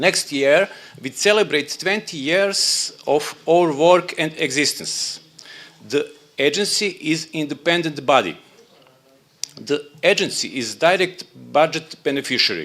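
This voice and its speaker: At a fairly slow pace, a man speaks with a Serbian accent and a fairly high pitch. Noticeable background noise is present. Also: ordinary pitch variation. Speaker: labour dispute agency official. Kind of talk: conference presentation. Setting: conference room. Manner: halting.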